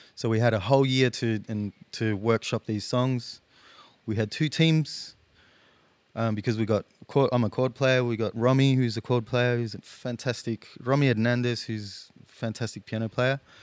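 A man with an Australian accent, medium in pitch, at a moderate pace with fairly even intonation. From Australia, teen years in Chile. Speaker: guitarist. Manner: hesitant, many fillers.

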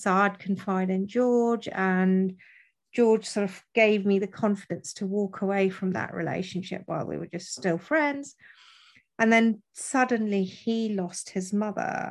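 A woman speaks at a fairly slow pace against a quiet background, with a medium pitch and ordinary pitch variation. Hers is a plain, everyday voice. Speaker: widow. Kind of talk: interview testimony.

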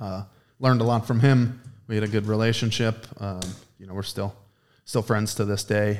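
A man with an American accent, fairly low-pitched, at a moderate pace, monotone and flat, with long, frequent pauses, on a very clean recording with a silent background. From western Pennsylvania. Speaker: ice cream maker and chef. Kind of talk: casual chat. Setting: ice cream production facility.

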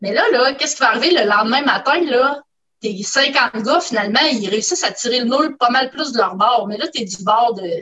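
A high-pitched woman with a Quebec accent, lively intonation and a moderate pace. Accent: Québécois French. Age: 50s. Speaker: scientist. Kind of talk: casual chat. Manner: halting, many hesitations.

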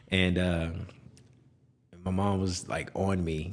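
In a room with audible echo, a man with an American accent talks in a very deep, low pitch with fairly even intonation. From Texas, Houston suburbs (Spring). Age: 30s. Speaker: real estate broker. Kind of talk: interview.

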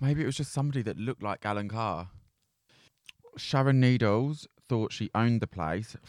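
Captured dry and close with no echo, a man at medium pitch talks at a moderate pace with ordinary pitch variation and long, frequent pauses. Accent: Essex. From South London. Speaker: podcast co-host. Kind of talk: casual chat. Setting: studio.

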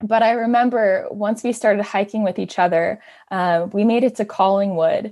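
With a Canadian accent and a normal speaking voice, a woman talks at a moderate pace with ordinary pitch variation against a quiet background. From Ontario, Canada (Hamilton). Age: 20s. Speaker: hiker. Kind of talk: casual interview.

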